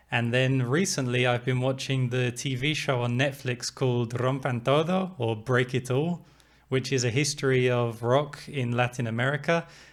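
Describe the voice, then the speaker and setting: A man's fairly even intonation comes through in a very clean recording with a silent background. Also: medium pitch for a man, moderate pace, very even loudness. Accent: English. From England. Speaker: music reviewer. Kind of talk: album review talk to camera.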